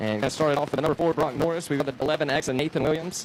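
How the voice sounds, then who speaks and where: There is noticeable background noise as a man talks at a very fast pace with an American accent. His pitch is fairly high, with ordinary pitch variation. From Georgia, US. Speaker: motocross race announcer. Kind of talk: live commentary. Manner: distinctive.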